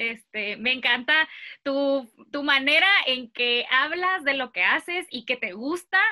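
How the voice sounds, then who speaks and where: A woman's raised, projected voice, high in pitch, bright and sharp in tone, with lively intonation against a quiet background. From Mexico, Mexicali; Mexico. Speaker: vocational guidance YouTuber. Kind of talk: interview. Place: home room. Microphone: earbuds.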